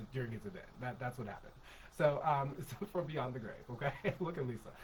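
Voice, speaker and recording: A somewhat breathy man at a very fast pace, medium in pitch, with ordinary pitch variation. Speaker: podcast co-host. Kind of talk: casual political discussion. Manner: halting, many fillers.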